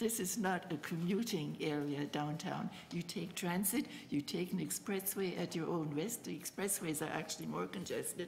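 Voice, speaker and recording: A woman speaks at a moderate pace and a fairly low pitch, with ordinary pitch variation and noticeable background noise. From Germany. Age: 80s+. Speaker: retired city councillor. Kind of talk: public committee deputation. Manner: animated.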